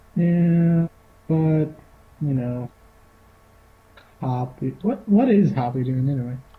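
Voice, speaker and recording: A soft-spoken man whispers at a very slow pace, with long, frequent pauses. There is noticeable background noise. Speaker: tabletop game player. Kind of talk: casual chat. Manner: very quiet, sounds like whispering.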